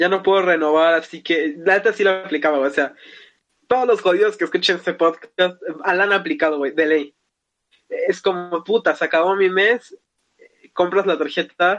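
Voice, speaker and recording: A man's high-pitched voice at a fairly slow pace, broken by long, frequent pauses. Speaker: podcast host. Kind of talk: casual chat.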